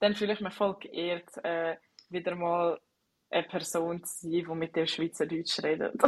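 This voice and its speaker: In a Swiss accent, a woman speaks fairly slowly with a fairly low pitch and monotone, flat intonation. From Switzerland. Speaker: podcast host. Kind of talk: casual interview chat. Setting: internet call, not in studio.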